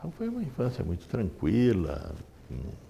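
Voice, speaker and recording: A man speaks at a fairly slow pace. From Brazil, Sorocaba (São Paulo state). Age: 60s. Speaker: physician. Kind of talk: interview. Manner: hesitant.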